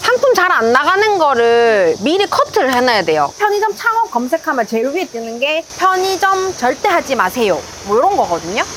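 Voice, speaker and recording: A woman with a cheerful tone and high pitch, very wide pitch swings, a moderate pace with hardly any pauses, over noticeable background noise. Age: 30s. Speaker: convenience store owner. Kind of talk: interview answer. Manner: bright, cheerful.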